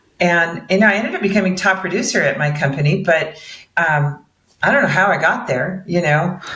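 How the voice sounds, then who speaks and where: Against audible room echo, a woman talks at a moderate pace. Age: 60s. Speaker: mortgage broker. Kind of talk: interview.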